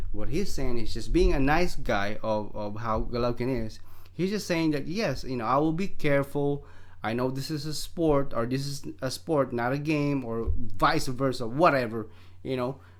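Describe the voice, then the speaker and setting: Over audible room echo, a man talks at a moderate pace with a medium pitch and ordinary pitch variation. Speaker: boxing commentator vlogger. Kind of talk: casual opinion vlog. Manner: animated, hesitant with fillers.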